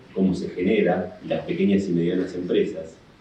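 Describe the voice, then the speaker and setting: A man speaks at a fairly slow pace and fairly low pitch, with fairly even intonation. There is audible room echo and noticeable background noise. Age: 60s. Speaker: union leader and labor lawyer. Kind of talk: conference talk. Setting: in-person panel at a law association.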